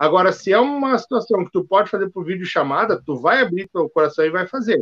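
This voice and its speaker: A high-pitched man with lively intonation at a fairly quick pace. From Rio Grande do Sul, Brazil (Novo Hamburgo). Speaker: sales consultant and speaker. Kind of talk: casual chat. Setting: live stream.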